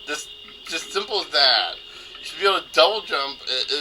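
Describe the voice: The clip is plain reading aloud. Nothing beyond reading is heard.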